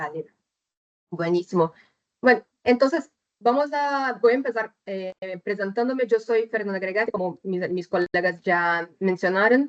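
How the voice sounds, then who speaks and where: At a fairly slow pace, a woman speaks in a medium-pitched voice. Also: lively intonation, dry, close sound with no echo. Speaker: chemical engineer, technical presenter. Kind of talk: webinar presentation. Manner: deliberately slow; hesitant, many fillers.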